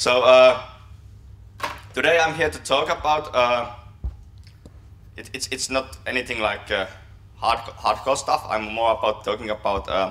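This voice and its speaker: A man's medium-pitched voice with a Finnish accent, fairly slow, with ordinary pitch variation and long, frequent pauses. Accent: Finnish accent, self-described poor English. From Finland. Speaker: software developer, conference speaker. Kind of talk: conference talk. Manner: halting, many fillers and repetitions.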